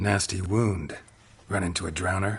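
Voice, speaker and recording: A man does a put-on character voice, very deep and low in pitch. His pace is moderate. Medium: video game. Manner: terse, deadpan.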